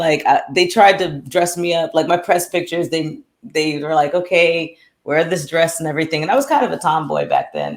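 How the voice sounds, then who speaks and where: Speaking with an American accent, the woman has a fairly low pitch. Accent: American-sounding. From France, Paris. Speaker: singer and radio host. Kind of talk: interview. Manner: hesitant with fillers and restarts.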